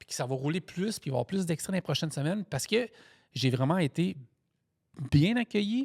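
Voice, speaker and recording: On a very clean recording with a silent background and a dry, close sound with no echo, a man with a high pitch and an animated tone talks at a fairly quick pace, his pitch swinging very widely and his loudness rising and falling sharply, broken by long, frequent pauses. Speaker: truck driver and podcast host. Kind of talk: casual chat.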